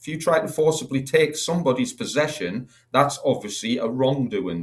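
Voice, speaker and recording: A man's fairly high voice with vocal fry and very wide pitch swings. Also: moderate pace. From Northeast England. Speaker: talk show panelist. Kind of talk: casual chat.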